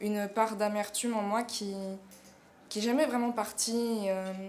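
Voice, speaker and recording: A woman's fairly high voice at a fairly slow pace, with monotone, flat intonation. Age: 20s. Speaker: drama student. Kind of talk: casting self-presentation. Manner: hesitant, many fillers.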